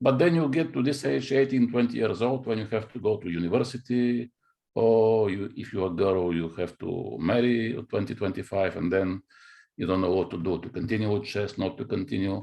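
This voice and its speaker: A man with a Bulgarian accent, fairly low in pitch, with lively intonation at a fairly quick pace. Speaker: chess grandmaster and coach. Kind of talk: interview. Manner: halting.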